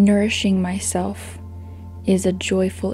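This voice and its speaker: A woman's very deep, low voice in a monotone, flat intonation at a very slow pace, with music in the background. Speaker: meditation guide. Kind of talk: guided meditation. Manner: slow, soft-spoken.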